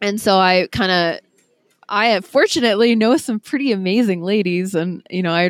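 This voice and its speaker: A woman speaks with an Upper Midwest accent. The recording is very clean, with a silent background. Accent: Upper Midwest American. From Wisconsin, Green Bay. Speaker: trail runner and podcaster. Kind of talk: casual interview. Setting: coffee shop.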